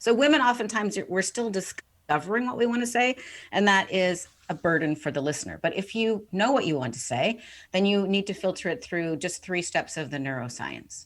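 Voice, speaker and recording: The delivery moves at a fairly quick pace with some vocal fry. Pitch swings very widely throughout. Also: woman. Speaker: author and communication coach. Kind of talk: podcast interview.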